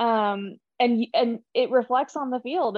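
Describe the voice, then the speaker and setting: A woman's fairly high-pitched voice, an ordinary speaking voice, with ordinary pitch variation. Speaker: team communications staffer. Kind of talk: casual chat.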